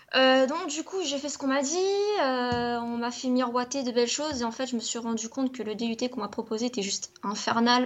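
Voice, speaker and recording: At a moderate pace, a woman speaks with high pitch and ordinary pitch variation. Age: 20s. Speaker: youtuber. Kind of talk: casual chat.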